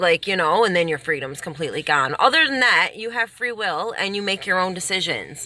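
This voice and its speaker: Against noticeable background noise, a woman speaks at a fairly quick pace and medium pitch, her tone animated and her intonation lively. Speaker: self-help vlogger. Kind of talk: casual advice monologue. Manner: loud. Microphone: poor quality recording, no microphone.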